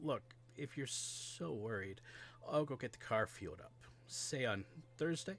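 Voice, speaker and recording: Putting on a raspy character voice at a medium pitch, a man speaks at a moderate pace with long, frequent pauses over clear background noise. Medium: read story.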